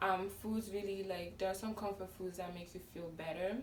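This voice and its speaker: Noticeable background noise and audible room echo around a female voice of medium pitch. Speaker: lifestyle vlogger. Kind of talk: casual vlog talk. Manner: loud. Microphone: no microphone.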